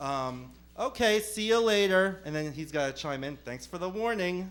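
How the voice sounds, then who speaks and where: A man with a New Jersey accent, animated in tone with lively intonation, at a fairly quick pace. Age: 30s. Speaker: stand-up comedian. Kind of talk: stand-up. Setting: comedy club stage with audience.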